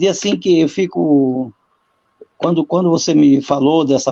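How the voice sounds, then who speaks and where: Dry and close with no echo, a man's dark, mellow voice moves with ordinary pitch variation. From Brazil, rural. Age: 60s. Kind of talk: online panel talk. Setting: live video call.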